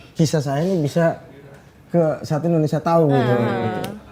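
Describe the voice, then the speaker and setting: Noticeable background noise runs under the clip. A man speaks over it at a moderate pace. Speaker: singer. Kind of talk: interview answer.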